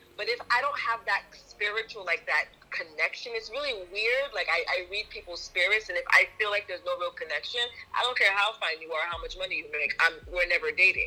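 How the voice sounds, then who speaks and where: Noticeable background noise surrounds a woman who speaks fairly quickly. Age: 30s. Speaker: guest panelist. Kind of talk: casual chat.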